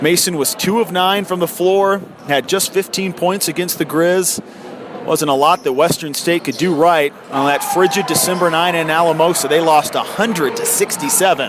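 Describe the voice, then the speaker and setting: Against noticeable background noise, a high-pitched man talks at a moderate pace with ordinary pitch variation and hardly any pauses. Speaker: radio sports broadcaster, play-by-play announcer. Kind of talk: radio basketball play-by-play commentary.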